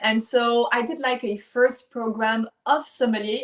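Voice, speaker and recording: In a French accent, a woman speaks with a fairly high pitch. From France, Lyon. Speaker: champagne brand founder. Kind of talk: interview. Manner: halting.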